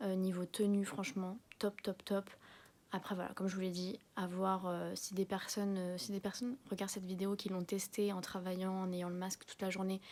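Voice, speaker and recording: The speaker is soft-spoken, at a moderate pace. The intonation stays monotone and flat. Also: woman. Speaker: beauty vlogger. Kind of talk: product review vlog. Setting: at home. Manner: casual, filler-heavy.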